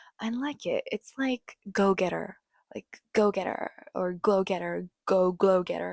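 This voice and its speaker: Dry and close with no echo, a woman speaks at a medium pitch with a Japanese accent. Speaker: podcast host. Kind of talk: casual podcast monologue.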